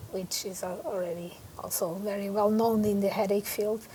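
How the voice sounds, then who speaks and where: This woman speaks in a Portuguese accent. Her pitch is medium. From Portugal. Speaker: neurologist and headache researcher. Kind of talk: interview. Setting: conference venue. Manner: halting, many fillers.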